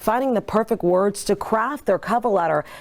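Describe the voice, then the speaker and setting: A woman with an American accent speaks at a fairly quick pace, her intonation lively. She has an unremarkable speaking voice. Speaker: TV news anchor and reporter. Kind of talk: news anchor and field reporter delivery. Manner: upbeat, outgoing, relatable.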